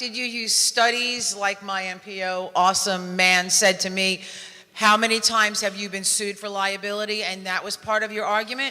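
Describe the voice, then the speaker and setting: Moderate pace in a New York accent, with noticeable background noise. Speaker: elected official asking a question from the audience. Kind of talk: audience question at a conference Q&A.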